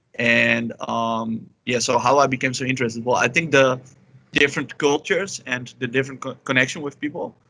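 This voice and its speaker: A man with a Dutch accent talks at a fairly quick pace in a bright, sharp tone. His pitch is medium and his intonation fairly even. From Netherlands, Amsterdam. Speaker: polyglot and illustrator. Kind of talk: interview. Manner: halting, many fillers.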